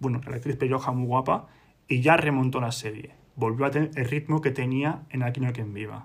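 A man speaks at a medium pitch and a fairly quick pace, somewhat breathy. His intonation stays fairly even. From Spain, Madrid. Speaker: podcast co-host. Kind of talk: casual chat.

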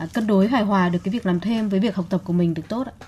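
Somewhat breathy, a woman talks at a medium pitch with ordinary pitch variation. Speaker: radio host. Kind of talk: radio interview.

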